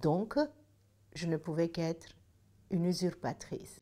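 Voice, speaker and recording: A woman is speaking. Her pitch sits fairly low. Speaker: senator. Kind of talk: personal anecdote told to camera. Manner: hesitant, many filler sounds.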